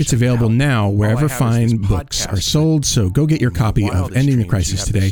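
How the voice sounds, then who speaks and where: Against noticeable background noise, a man with a medium pitch speaks at a fairly quick pace with lively intonation. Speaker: podcast host.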